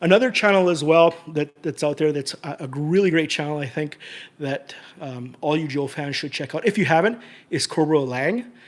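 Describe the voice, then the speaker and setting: A man talks at a fairly high pitch with ordinary pitch variation. The recording is very clean, with a silent background. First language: Portuguese. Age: 50s. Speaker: toy collector YouTuber. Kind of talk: casual vlog talk to camera. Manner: halting, many repetitions and fillers.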